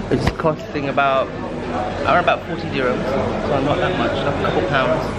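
A man talks at a fairly quick clip over loud background noise. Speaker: solo traveller vlogger. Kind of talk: casual vlog chat. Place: cafe. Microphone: phone near.

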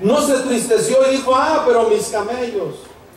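Light background noise and audible room echo surround a man speaking at an extremely high pitch. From Mexico. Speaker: pastor. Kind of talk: sermon. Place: tent.

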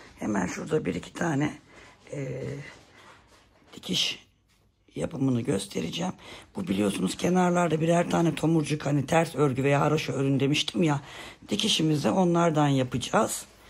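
Using vocal fry and a very deep, low pitch, a woman speaks at a moderate pace with long, frequent pauses. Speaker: knitting tutorial creator. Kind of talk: tutorial. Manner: hesitant with many fillers.

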